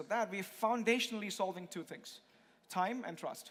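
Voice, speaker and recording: This is a man's voice. Its pitch rises and falls in an ordinary way. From India. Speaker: conference speaker, blockchain expert. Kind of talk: conference talk. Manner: fast.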